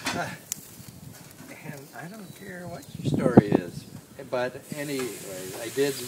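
The speaker is a man. Loud background noise sits behind him. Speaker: host grilling dinner. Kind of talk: casual storytelling. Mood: annoyed, amused anecdote. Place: garden. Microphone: phone near.

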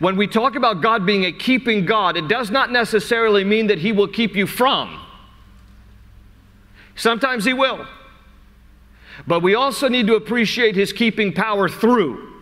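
A man with a high pitch projects a raised voice at a moderate pace, with ordinary pitch variation. His loudness is very even, broken by long, frequent pauses. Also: quiet background. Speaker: pastor. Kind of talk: sermon, Bible teaching to a congregation. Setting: live church service in front of an audience. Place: church. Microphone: lapel.

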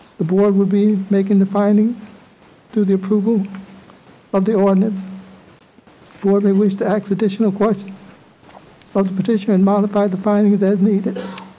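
A man's high-pitched, flat monotone at a fairly quick pace over noticeable background noise. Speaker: village trustee. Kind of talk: reading a report aloud. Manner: fast talker.

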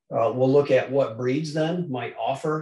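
Audible room echo surrounds a man speaking with fairly even intonation. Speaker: presenter. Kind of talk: lecture. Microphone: video call.

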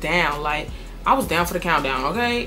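A woman speaks with faint music in the background. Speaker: storytime vlogger. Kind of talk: casual vlog chat. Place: home room.

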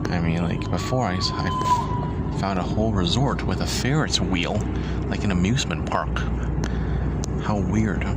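Loud background noise surrounds a man, though his sound is dry with no echo. He talks at a fairly slow pace with long, frequent pauses. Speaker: vlogger. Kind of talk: casual vlog chat. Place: car. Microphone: phone near.

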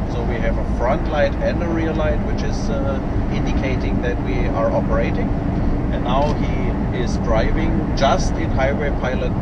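The pace stays moderate as this man talks. Behind his voice there is loud background noise. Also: dry sound with no echo. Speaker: system demonstrator. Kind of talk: explanatory demo commentary. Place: car.

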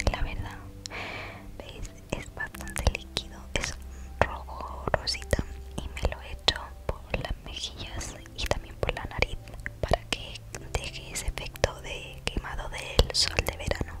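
A woman whispering at a very slow pace, with long, frequent pauses, big swings in loudness and noticeable background noise. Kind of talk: ASMR vlog voiceover. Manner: whispered, soft-spoken.

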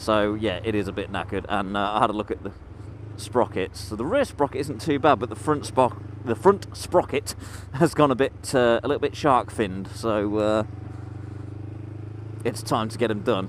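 A man's fairly low voice at a moderate pace, ordinary pitch variation, light background noise and a dry sound without echo. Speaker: motorcycle vlogger. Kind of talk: casual vlog chat. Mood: relaxed, slightly amused. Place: motorbike. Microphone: helmet.

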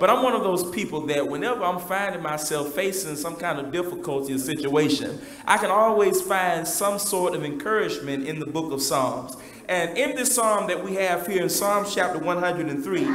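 There is audible room echo and light background noise as a man talks at a moderate pace, his high pitch showing ordinary variation. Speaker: preacher. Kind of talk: sermon. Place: church.

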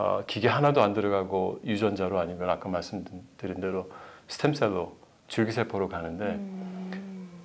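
A man speaks at a moderate pace. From South Korea. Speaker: medical researcher, professor; professor. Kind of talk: interview. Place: studio. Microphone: lapel.

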